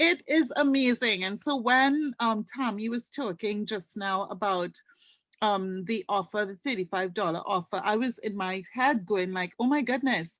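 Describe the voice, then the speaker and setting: With lively intonation, a woman speaks at a moderate pace in a fairly high voice. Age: 50s. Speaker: customer giving a product testimonial. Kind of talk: testimony. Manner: animated.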